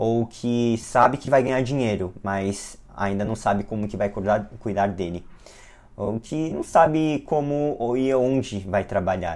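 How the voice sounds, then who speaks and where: At a fairly slow pace, a man with an ordinary speaking voice talks in a medium pitch with ordinary pitch variation. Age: 20s. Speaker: physician and lecturer. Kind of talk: lecture.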